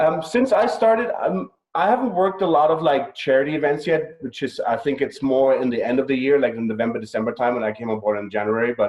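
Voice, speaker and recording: A man talking at a very fast pace, fairly high in pitch, with very wide pitch swings. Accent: German. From Germany, Bavaria. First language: German. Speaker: executive chef. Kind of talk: interview.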